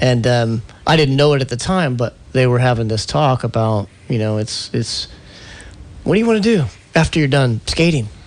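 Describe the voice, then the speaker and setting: At a moderate pace, a man speaks at a medium pitch with ordinary pitch variation. He has an unremarkable speaking voice. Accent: American. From US Midwest, Indianapolis. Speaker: former pro skateboarder, company executive. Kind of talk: radio interview.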